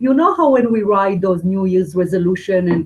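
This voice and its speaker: A woman talks at a fairly quick pace with a non-native accent. Her medium-pitched voice is somewhat breathy and shows ordinary pitch variation. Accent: foreign. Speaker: spiritual teacher and medium. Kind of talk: webinar teaching. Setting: live webinar.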